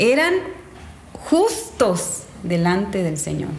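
A woman's very slow speech with very wide pitch swings, audible room echo and noticeable background noise. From Mexico, Quintana Roo. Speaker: church speaker, Bible teacher. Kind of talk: casual chat about a Bible story.

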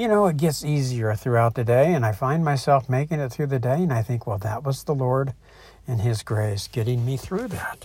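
A somewhat breathy male voice at medium pitch, with ordinary pitch variation and a moderate pace. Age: 60s. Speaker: online Bible teacher. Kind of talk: devotional teaching. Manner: casual, hesitant with fillers.

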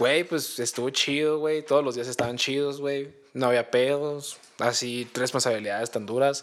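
A man speaks at a moderate pace and medium pitch, with fairly even intonation and hardly any pauses. He has an unremarkable speaking voice. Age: 20s. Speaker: podcast co-host. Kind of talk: casual chat.

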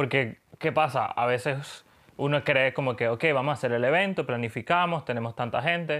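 A man speaks at a moderate speed, his pitch varying in an ordinary way, with a quiet background behind him. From Venezuela. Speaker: graphic designer. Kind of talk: casual chat.

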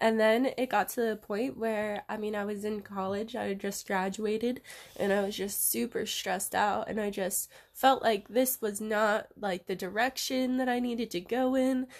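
A woman with an American accent, moderate pace and fairly even intonation. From US West, Reno, Nevada. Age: 20s. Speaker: yoga and hula hoop dance teacher. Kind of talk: casual chat.

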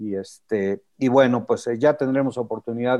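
With an unremarkable speaking voice, a man talks fairly slowly at medium pitch with ordinary pitch variation. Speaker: motorsport show host. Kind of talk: casual chat.

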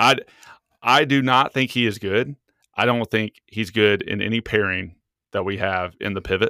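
A man at medium pitch and moderate pace, a normal speaking voice with ordinary pitch variation, dry and close with no echo, on a very clean recording with a silent background. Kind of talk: casual podcast chat about football.

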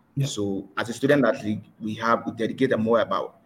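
The male speaker sounds somewhat breathy. His pitch is medium for a man. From Liberia. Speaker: former student athlete, partnerships manager. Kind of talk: webinar panel discussion. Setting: online webinar. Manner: halting.

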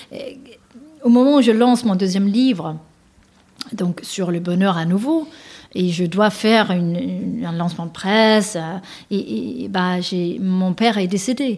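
A woman speaks at a medium pitch and a fairly slow pace, with ordinary pitch variation. Her speech has long, frequent pauses. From Denmark. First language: Danish (speaking French). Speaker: author and executive coach. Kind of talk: interview. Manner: hesitant, many fillers.

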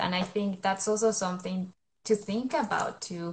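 At a moderate pace, the speaker talks in a Spanish accent with a somewhat breathy voice. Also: woman. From Colombia. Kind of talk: interview. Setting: live stream.

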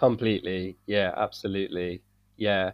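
A man with a British accent speaks at fairly low pitch. His pace is fairly slow. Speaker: English teacher and coach. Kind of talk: casual conversation.

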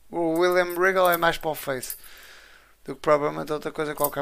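In a European Portuguese accent, a man speaks very fast with fairly high pitch and fairly even intonation on a very clean recording with a silent background. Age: 20s. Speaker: wrestling podcast co-host. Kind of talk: casual chat.

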